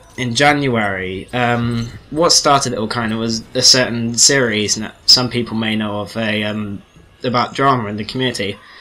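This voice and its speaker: A man speaks at a fairly slow pace with a medium pitch. His intonation stays fairly even over noticeable background noise. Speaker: gaming commentator. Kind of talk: casual commentary over gameplay.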